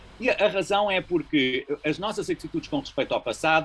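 A man talks at a moderate pace with vocal fry. His tone is bright and sharp. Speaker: physicist with an interest in philosophy of time. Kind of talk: casual family conversation about philosophy.

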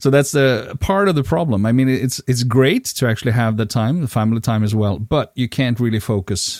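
With a Swedish accent, a man speaks at a fairly quick pace with ordinary pitch variation on a very clean recording with a silent background. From Sweden. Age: 50s. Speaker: podcast co-host, event organizer. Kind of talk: casual chat. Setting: home recording in bedroom.

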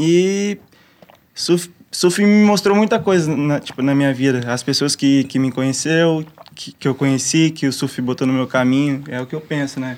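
A man with a plain, everyday voice talks at a moderate pace in a fairly high pitch, with ordinary pitch variation. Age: 20s. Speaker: pro surfer and musician. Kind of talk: casual chat.

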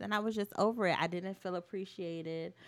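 A woman with an American accent has an ordinary speaking voice at medium pitch. She talks at a moderate pace. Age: 20s. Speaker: dance choreographer. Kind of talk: casual chat.

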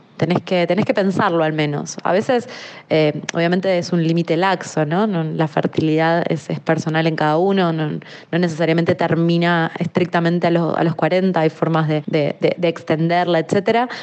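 With noticeable background noise behind her, a woman with a fairly low pitch keeps very even loudness and fairly even intonation. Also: moderate pace, hardly any pauses. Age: 30s. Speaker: communications worker. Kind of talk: testimony.

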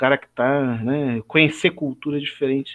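Pitched fairly high for a man, this speaker has an ordinary speaking voice whose pitch varies in an ordinary way. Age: 40s. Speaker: church elder and biology teacher. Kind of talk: Bible study discussion.

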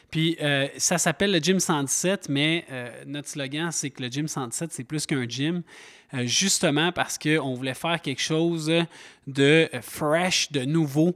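A man in a Quebec accent at a fairly high pitch and a very slow pace, with a dry, close sound and no echo, on a very clean recording with a silent background. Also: fairly even intonation. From Quebec, Montreal. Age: 30s. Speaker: podcast host and gym owner. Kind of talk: casual chat.

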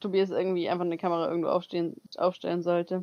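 A woman with an unremarkable speaking voice talks at a medium pitch with fairly even intonation, the sound dry and close with no echo. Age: 20s. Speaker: podcast co-host, au pair. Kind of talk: casual chat. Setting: video call.

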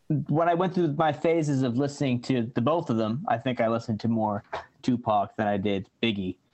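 With ordinary pitch variation, the clip presents an ordinary speaking voice. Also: man. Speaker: musician. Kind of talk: casual chat. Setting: video call.

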